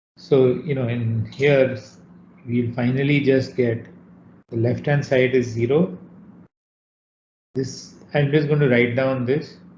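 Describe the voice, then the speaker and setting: A somewhat breathy man speaks at a very slow pace, with long, frequent pauses and fairly even intonation. Audible room echo and light background noise surround his voice. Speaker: university lecturer. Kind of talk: lecture. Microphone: video call.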